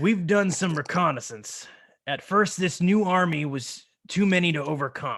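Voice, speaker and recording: A man performs a raspy, put-on character voice. The recording is very clean, with a silent background. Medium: actual play. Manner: warm, earnest.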